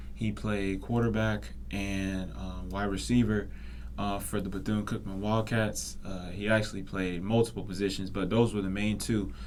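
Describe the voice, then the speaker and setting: A man speaks at a moderate pace in a fairly low pitch, with very wide pitch swings. Audible room echo surrounds his voice. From Florida (Daytona Beach). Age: 20s. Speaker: podcast host, student. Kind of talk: casual monologue. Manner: hesitant, many fillers.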